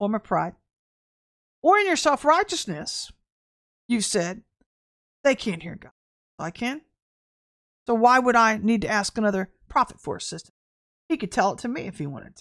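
On a very clean recording with a silent background and a dry, close sound with no echo, a woman talks at a moderate pace with long, frequent pauses. Her fairly high voice makes very wide pitch swings. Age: 50s. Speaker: prophetic minister and online show host. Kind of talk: prophetic teaching livestream. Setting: livestream.

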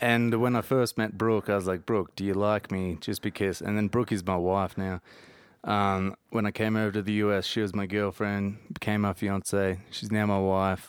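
Heard on a very clean recording with a silent background, a man speaks in a monotone, flat intonation. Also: moderate pace. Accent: Australian. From Australia; Jervis Bay, New South Wales. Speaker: podcast guest. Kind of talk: casual chat. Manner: laid-back, joking.

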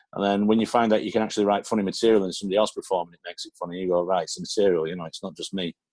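Speaking very fast in a Manchester accent, a man keeps a fairly low pitch and fairly even intonation. His loudness swings widely, and the sound is dry and close with no echo. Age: 50s. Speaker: comedian. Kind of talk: casual chat.

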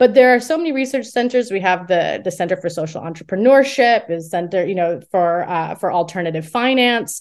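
An ordinary speaking voice with an American accent, a fairly quick pace and ordinary pitch variation, against a quiet background. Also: woman. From United States. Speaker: academic research director. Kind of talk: interview.

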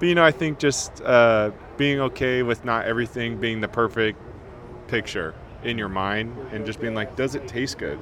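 Through noticeable background noise, a man with an American accent speaks at a medium pitch and moderate pace with ordinary pitch variation. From California. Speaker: chef. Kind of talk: casual chat.

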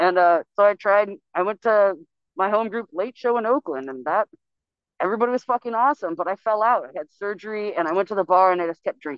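A woman talks at a very fast pace with an American accent. Her medium-pitched voice has lively intonation. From California. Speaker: recovering alcoholic sharing at AA meeting. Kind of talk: testimony. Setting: phone call.

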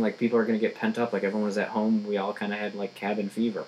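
Noticeable background noise surrounds a man speaking at a fairly quick pace. He has a medium pitch and an American accent. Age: 20s. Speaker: stand-up comedian. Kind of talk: casual chat.

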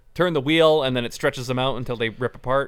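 A man uses an ordinary speaking voice at medium pitch. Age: 30s. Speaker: comic book store podcast co-host. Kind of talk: casual chat.

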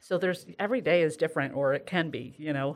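A woman's very deep, low voice with an American accent, in a very clean recording with a silent background. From upstate New York, Sidney. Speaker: HR director. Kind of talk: casual interview. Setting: studio, face-to-face recording with headset.

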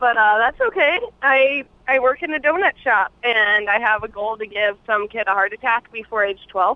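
A plain, everyday voice from a woman, fairly high in pitch, with ordinary pitch variation at a moderate pace. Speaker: caller. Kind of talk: casual chat. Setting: phone call.

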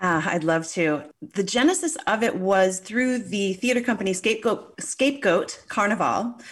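Delivered at a moderate pace, a plain, everyday voice carries lively intonation and very even loudness. The recording is very clean, with a silent background. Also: woman, medium pitch for a woman. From Newfoundland, Canada. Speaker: cannabis journalist and podcaster.

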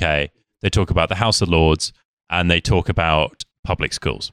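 A man with a British accent speaks at a moderate pace in a very clean, dry, close recording with no echo and a silent background. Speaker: podcast guest. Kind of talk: casual chat.

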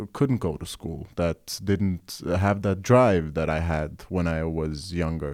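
On a very clean recording with a silent background, a man speaks very slowly in a dark, mellow tone with ordinary pitch variation. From Norway, Oslo East (Groruddalen), Kurdish family. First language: Norwegian. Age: 20s. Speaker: musician and youth worker. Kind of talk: casual chat. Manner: halting.

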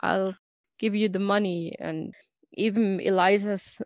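With a German accent, a woman talks at a medium pitch and fairly even intonation. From Germany. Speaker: podcast co-host and fan site runner. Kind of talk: casual chat.

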